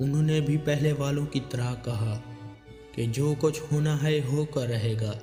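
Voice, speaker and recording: A man's fairly high-pitched voice with fairly even intonation, music in the background. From Pakistan. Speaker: voice-over artist. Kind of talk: religious story narration.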